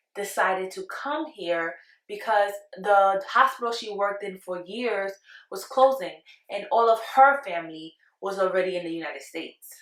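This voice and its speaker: Loudness swings widely as a woman with a Spanish accent speaks at a moderate pace. Her pitch is medium, with ordinary variation. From Panama, moved to Brooklyn at ten. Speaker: vlogger. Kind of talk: casual storytime monologue.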